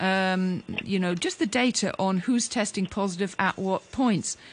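Somewhat breathy, a woman with a medium pitch speaks at a moderate pace with lively intonation. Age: 50s. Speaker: radio talk show co-host. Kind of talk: radio interview.

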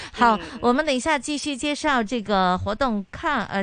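Moderate pace and ordinary pitch variation in a normal speaking voice. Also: woman. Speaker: radio host. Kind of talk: radio talk show. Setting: studio.

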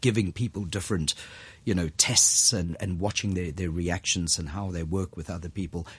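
At a moderate pace, a man talks in a very deep, low, somewhat breathy voice. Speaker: wine business manager and former diplomat. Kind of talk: interview. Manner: animated.

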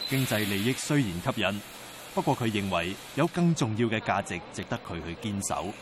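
Noticeable background noise sits behind this voice. A man with a fairly low pitch speaks with lively intonation. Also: moderate pace. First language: Cantonese (speaking Chinese). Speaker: news documentary narrator. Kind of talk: scripted narration.

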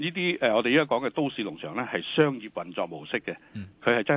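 A man speaks with very wide swings in pitch. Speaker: government department director. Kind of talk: radio interview. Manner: halting, many fillers.

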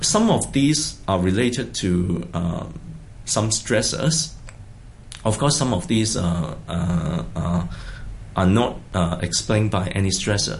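A man with a Hong Kong accent speaks very slowly at a very deep, low pitch, with vocal fry and long, frequent pauses. His pitch swings very widely while his loudness stays very even. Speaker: psychiatrist. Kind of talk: interview. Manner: halting.

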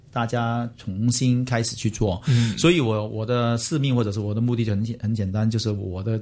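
A man with a dark, mellow, somewhat breathy tone speaks at a medium pitch and a moderate pace, with fairly even intonation and hardly any pauses. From Hong Kong. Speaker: business executive. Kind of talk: interview.

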